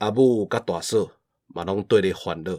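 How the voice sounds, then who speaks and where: In a very clean recording with a silent background, a man speaks fairly slowly at a fairly low pitch with ordinary pitch variation, the sound dry and close with no echo. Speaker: podcast host. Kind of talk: reading aloud; casual chat. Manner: animated.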